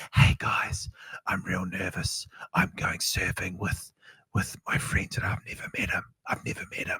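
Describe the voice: A man whispering in a put-on character voice at a moderate pace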